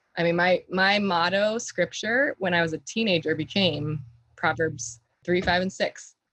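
An ordinary speaking voice from a woman with an American accent, fairly low in pitch, at a moderate pace, with lively intonation and very even loudness. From US South, Florida Gulf Coast (Bradenton). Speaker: health coach. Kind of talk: interview conversation.

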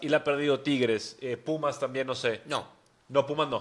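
A man speaks with a bright, sharp tone. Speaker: football podcast host. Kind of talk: casual chat. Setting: studio.

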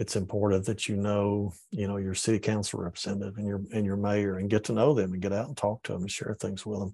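A man with a Southern US accent speaks very fast with hardly any pauses, his fairly low pitch, dark, mellow tone and monotone, flat intonation set against a quiet background. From Georgia and Tennessee, US South. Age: old. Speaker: environmental educator, former public official. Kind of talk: interview. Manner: halting, frequent fillers.

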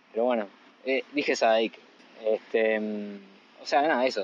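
Noticeable noise in the background accompanies a man talking at a moderate speed. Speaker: podcast co-host. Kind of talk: casual chat. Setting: on the beach, phone recorder. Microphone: phone recorder.

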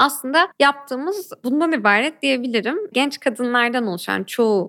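Her pitch is high, and it rises and falls in very wide swings. The woman keeps a moderate pace. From Turkey, Ankara. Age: 20s. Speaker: activist and human rights lawyer. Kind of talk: interview.

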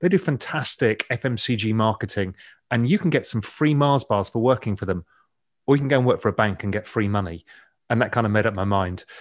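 A man with an English accent speaks at a very fast pace in a medium pitch, his intonation lively, on a very clean recording with a silent background. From England. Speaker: financial media founder and investor. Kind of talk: interview conversation.

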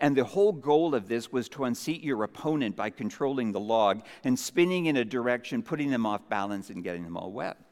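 This is an unremarkable speaking voice from a man with a Canadian accent. He speaks at a fairly quick pace and medium pitch. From Canada, Vancouver Island. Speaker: pastor. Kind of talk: sermon.

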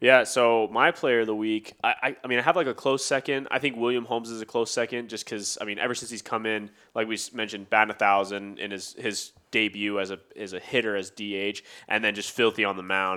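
With a fairly low pitch and a bright, sharp tone, a man talks at a fairly quick pace with hardly any pauses and fairly even intonation. The recording is very clean, with a silent background. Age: 20s. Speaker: baseball podcast co-host. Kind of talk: casual chat.

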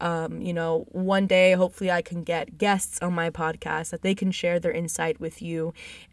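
A woman speaks at a moderate pace with hardly any pauses. Her intonation stays fairly even. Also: fairly low pitch for a woman. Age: 20s. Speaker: podcast host. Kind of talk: casual monologue. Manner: frequent fillers.

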